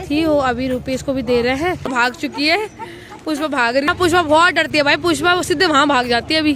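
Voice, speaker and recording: A woman talks at a moderate pace with ordinary pitch variation while noticeable background noise plays behind her. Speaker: family vlogger. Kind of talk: casual vlog narration.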